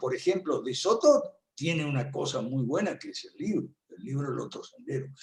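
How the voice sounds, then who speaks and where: A man is speaking. His pitch swings very widely. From Argentina. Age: 70s. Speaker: political commentator. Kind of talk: lecture.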